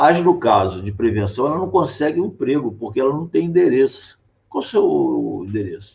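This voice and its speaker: A man speaks at a moderate pace with vocal fry. His pitch makes very wide swings. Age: 60s. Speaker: political candidate and physician. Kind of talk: interview.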